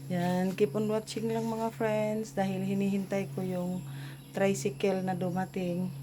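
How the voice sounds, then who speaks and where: A woman speaks fairly slowly with lively intonation as noticeable background noise carries on. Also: medium pitch for a woman. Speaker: vlogger. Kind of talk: casual vlog narration.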